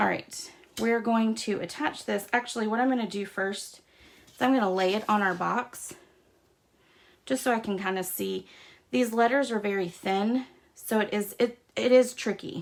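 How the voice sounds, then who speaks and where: Long, frequent pauses break up the speech of this speaker with an American accent. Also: woman, fairly high pitch for a woman, ordinary pitch variation, moderate pace. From US South. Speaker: craft demonstrator. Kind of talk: tutorial. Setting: livestream. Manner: casual, chatty.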